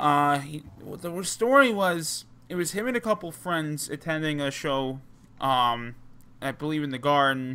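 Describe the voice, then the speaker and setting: Over a very clean, silent background, a man with a New Jersey accent speaks at a fairly slow pace, his fairly high voice bright and sharp in tone with lively intonation. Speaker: wrestling podcast host. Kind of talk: casual chat. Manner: halting, many fillers.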